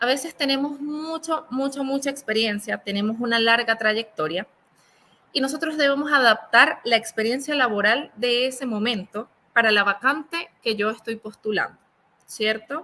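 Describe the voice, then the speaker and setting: High pitch from a woman, bright and sharp in tone, with ordinary pitch variation. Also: moderate pace. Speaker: IT recruiter. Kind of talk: webinar presentation. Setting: online webinar.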